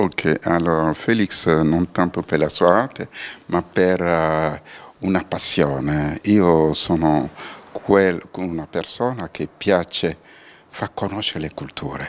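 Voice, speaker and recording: The speaker talks very slowly, with ordinary pitch variation. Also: man, very deep, low pitch for a man. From Benin. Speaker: diaspora cooperation coordinator. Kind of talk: TV interview.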